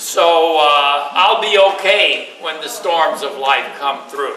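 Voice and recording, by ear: A man with a bright, sharp tone, fairly high pitch and ordinary pitch variation, at a slow pace in strong room echo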